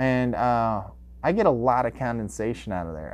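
With lively intonation and an ordinary speaking voice, a man of medium pitch speaks fairly quickly. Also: quiet background. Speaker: podcast host. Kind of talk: solo podcast monologue, casual. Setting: home basement recording. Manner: casual, rambling.

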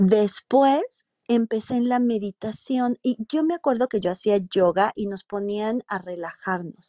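A woman with a Mexican accent speaks fairly slowly, her tone dark and mellow. Her pitch moves in an ordinary way, and she hardly pauses at all. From Mexico, Morelia, Michoacán. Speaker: marketing executive. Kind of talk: interview.

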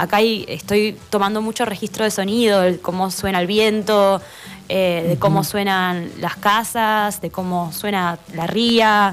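A normal speaking voice from a woman, medium in pitch, fairly slow and with fairly even intonation. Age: 20s. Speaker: filmmaker. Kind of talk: interview. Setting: radio studio.

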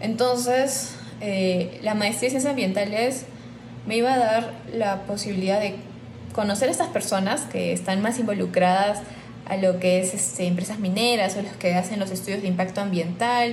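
Room echo is audible as a woman speaks at a moderate pace. Her pitch is medium, with ordinary variation. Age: 20s. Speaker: biologist. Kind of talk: interview testimony. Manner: hesitant with filler words.

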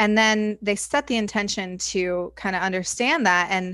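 Recorded very cleanly against a silent background, a woman with an American accent uses an ordinary speaking voice at medium pitch and with ordinary pitch variation. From Indiana. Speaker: hypnotherapist and life coach. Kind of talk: interview.

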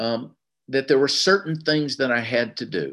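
A man talks at a fairly slow pace with a Southern US accent. Vocal fry runs through his voice. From US South, Tennessee. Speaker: recovery meeting speaker. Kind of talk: testimony.

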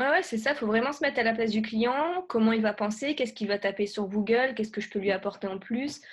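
The pitch varies in an ordinary way. The speaker has a plain, everyday voice. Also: woman. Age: 20s. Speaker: web entrepreneur and YouTuber. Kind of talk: podcast interview.

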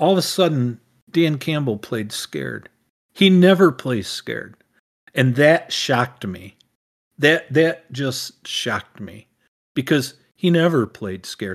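This man has a fairly high pitch and lively intonation, his loudness swings widely, and he leaves long, frequent pauses. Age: 60s. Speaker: podcast co-host, father. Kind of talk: casual chat.

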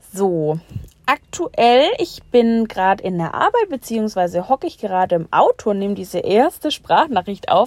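Heard in a dry, close sound with no echo, a woman's fairly high voice swings very widely in pitch. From Bavaria, Germany. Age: 20s. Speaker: podcaster, delivery driver. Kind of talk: casual monologue. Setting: in a car at work.

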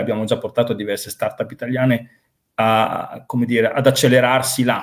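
Medium in pitch, a man with a normal speaking voice speaks at a moderate pace. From Italy, Reggio Emilia (Emilia-Romagna). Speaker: business consultant. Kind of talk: interview.

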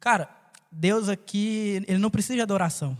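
The speaker is a man. He keeps a fairly quick pace. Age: 20s. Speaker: podcast co-host, barber. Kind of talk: casual chat.

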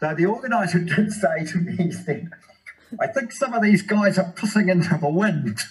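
A high-pitched man with a New Zealand accent at a fairly quick pace, with ordinary pitch variation. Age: 60s. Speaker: running and triathlon coach. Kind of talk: casual interview.

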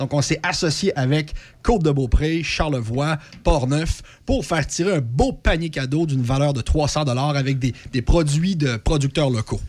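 A man speaks at a fairly slow pace in a fairly high, somewhat breathy voice with ordinary pitch variation. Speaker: regional youth program worker. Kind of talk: radio interview.

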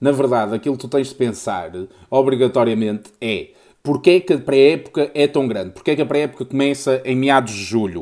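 Fairly quick male speech with ordinary pitch variation. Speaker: podcast co-host. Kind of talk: casual chat.

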